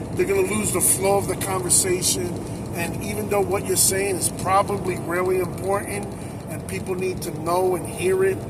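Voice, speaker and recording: With an American accent, a man speaks at a high pitch and a moderate pace with ordinary pitch variation, amid audible room echo and noticeable background noise. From US Northeast. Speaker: truck driver and driver trainer. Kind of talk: advice vlog. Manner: loud.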